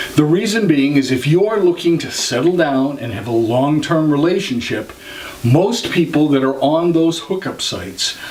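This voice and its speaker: Audible room echo and noticeable background noise accompany a man who speaks fairly high, his pitch varying in an ordinary way. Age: 60s. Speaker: vlogger. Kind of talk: advice vlog.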